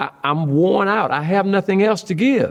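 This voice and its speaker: A man speaks over noticeable background noise. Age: 70s. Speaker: retiring pastor. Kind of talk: interview conversation. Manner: animated storytelling.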